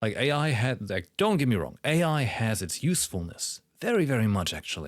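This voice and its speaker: A man with a German accent, vocal fry and very wide pitch swings, on a very clean recording with a silent background. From Germany. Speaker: streamer reacting to a game livestream. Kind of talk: casual livestream commentary. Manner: halting, with many fillers.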